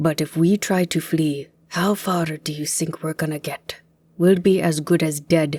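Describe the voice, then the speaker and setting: A put-on character voice speaks at a moderate pace. Its pitch sits in the middle range. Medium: read story. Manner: steady, reassuring.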